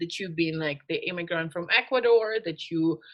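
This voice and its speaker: A woman speaks with a bright, sharp tone and lively intonation. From Russia. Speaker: podcast co-host. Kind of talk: casual chat.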